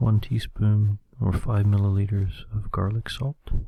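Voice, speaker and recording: A soft-spoken man with a calm, relaxed tone at a fairly slow pace. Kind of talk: ASMR recipe reading.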